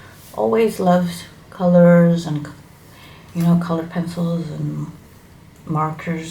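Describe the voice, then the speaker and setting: With an Indonesian accent, a woman speaks in a fairly low pitch and fairly even intonation, amid audible room echo and noticeable background noise. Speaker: hobby YouTuber. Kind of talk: casual vlog introduction. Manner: halting, with fillers.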